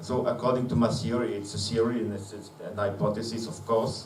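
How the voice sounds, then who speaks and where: Amid noticeable background noise and audible room echo, a man speaks. His pitch is medium and his intonation fairly even. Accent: non-native. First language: not English. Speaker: conference speaker, physicist. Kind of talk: conference presentation. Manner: slow; halting, many fillers.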